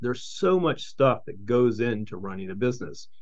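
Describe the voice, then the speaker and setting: A man with an American accent talks at a fairly quick pace in a plain, everyday voice of medium pitch. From Charleston, West Virginia. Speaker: entrepreneur, company CEO. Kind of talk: casual interview.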